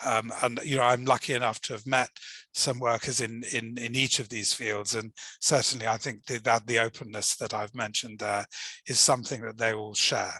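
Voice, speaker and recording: Speaking at a moderate pace, a man uses a medium pitch and a bright, sharp tone. His intonation is monotone and flat, and the background is quiet. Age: old. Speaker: language teaching academic. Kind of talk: online lecture.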